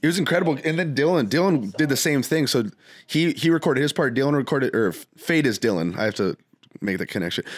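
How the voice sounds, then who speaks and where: A very fast-talking man with a fairly high pitch, vocal fry, lively intonation and very even loudness, on a very clean recording with a silent background. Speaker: music producer and artist. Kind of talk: casual chat.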